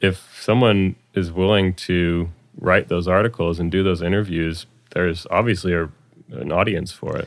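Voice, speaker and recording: A man with a Californian accent, very deep and low in pitch, with fairly even intonation at a moderate pace. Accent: Californian American. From US, Palo Alto, California. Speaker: electronic music producer and DJ. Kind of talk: casual interview chat.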